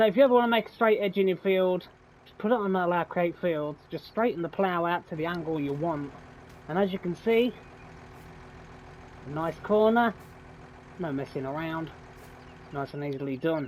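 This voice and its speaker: Someone speaks with a British accent in a relaxed tone at a moderate pace, with ordinary pitch variation, big swings in loudness and long, frequent pauses. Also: man, high pitch for a man. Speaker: gaming YouTuber. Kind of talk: let's play commentary. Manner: casual, relaxed.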